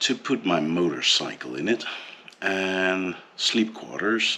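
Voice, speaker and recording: A man with a Dutch accent speaks at a very slow pace with ordinary pitch variation over noticeable background noise. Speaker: vlogger. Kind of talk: personal vlog monologue. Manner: hesitant, many fillers.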